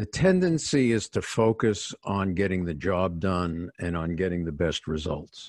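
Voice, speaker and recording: Over a quiet background, a man with a New York accent speaks at a fairly slow pace and a very deep, low pitch, with ordinary pitch variation and a dry, close sound with no echo. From New York City, working class. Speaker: executive coach and author. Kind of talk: interview.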